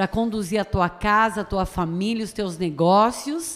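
This woman has an unremarkable speaking voice at a medium pitch. She talks at a fairly slow pace with lively intonation. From Brazil, Tatuí (São Paulo state). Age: 50s. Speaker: pastor. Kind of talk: radio interview.

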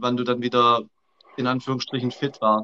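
A man's voice with a bright, sharp tone. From Swabia, southern Germany. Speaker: coach. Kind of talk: casual chat. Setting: live video call.

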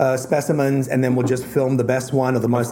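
Over noticeable background noise, a man with an Australian accent speaks at medium pitch and a very fast pace. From Tasmania, Australia. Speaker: author and conservationist guest. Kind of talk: casual chat.

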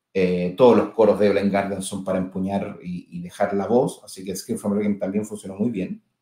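With a dark, mellow tone and a fairly low pitch, a man talks in a monotone, flat delivery, his loudness swinging widely and hardly any pauses. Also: fairly quick pace. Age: 40s. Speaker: singer. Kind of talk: casual chat.

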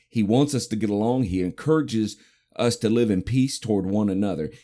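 A man's fairly low, dark and mellow voice at a fairly quick pace, ordinary pitch variation, very clean recording with a silent background. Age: 50s. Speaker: podcast host and minister, army veteran. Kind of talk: casual devotional talk. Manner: conversational, with frequent fillers and repetitions.

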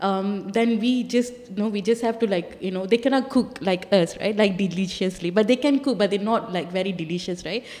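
A woman's medium-pitched voice at a fairly quick pace, with hardly any pauses and noticeable background noise. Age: 40s. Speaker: freedom of expression advocate. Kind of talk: panel discussion.

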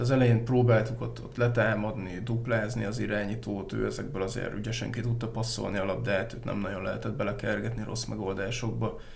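A man's fairly low, monotone, flat delivery at a fairly quick pace with hardly any pauses, over noticeable background noise. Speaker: sports journalist. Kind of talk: casual chat.

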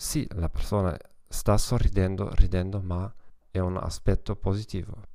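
Speaking at a fairly slow pace with a German accent, this voice has a dark, mellow tone and ordinary pitch variation on a very clean recording with a silent background. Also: man. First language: German (speaking Italian). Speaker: psychologist and language teacher. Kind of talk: solo podcast talk. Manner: halting.

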